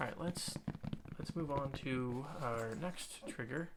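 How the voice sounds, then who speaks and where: A man with a fairly high pitch and ordinary pitch variation talks as noticeable background noise carries on. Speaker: ASMR creator. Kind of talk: casual personal ramble to the audience.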